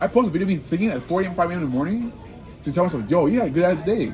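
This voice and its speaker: Over music in the background, a man talks at a very fast pace in an animated tone with very wide pitch swings. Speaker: podcast host, coach. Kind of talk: casual chat.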